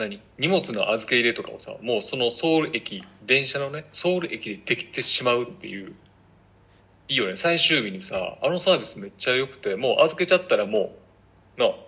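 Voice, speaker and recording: A man talks at a fairly quick pace in a Kansai accent. His loudness swings widely. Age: 30s. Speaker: podcast co-host. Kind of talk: casual chat.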